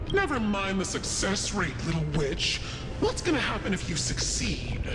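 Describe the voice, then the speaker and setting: A man uses a cartoonish character voice at a moderate pace while loud background noise runs behind him. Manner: teasing, amused.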